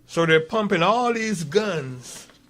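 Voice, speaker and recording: A man with a Barbadian accent speaks very slowly, his intonation lively. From Barbados. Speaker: author. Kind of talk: radio interview.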